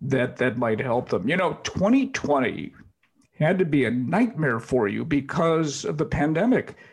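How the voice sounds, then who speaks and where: Here a man speaks slowly in a fairly high, somewhat breathy voice. His intonation is lively. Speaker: podcast host. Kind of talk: interview with sponsor reads.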